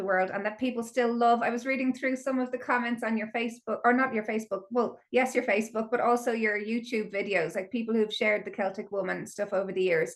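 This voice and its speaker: Speech comes at a fairly quick pace with an Irish accent. The pitch varies in an ordinary way. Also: woman. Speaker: podcast host. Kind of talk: podcast interview.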